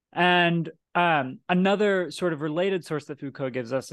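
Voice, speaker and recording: A man speaks in an unremarkable speaking voice at a moderate pace. His pitch variation is ordinary, and the background is quiet. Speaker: podcast host. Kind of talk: casual discussion of a philosophy book.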